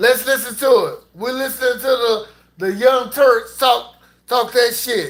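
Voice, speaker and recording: Speaking with an American accent, a man with an extremely high pitch goes at a fairly slow pace in fairly even intonation. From US. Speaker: podcast host, military veteran. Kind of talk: livestream commentary. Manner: casual, profane.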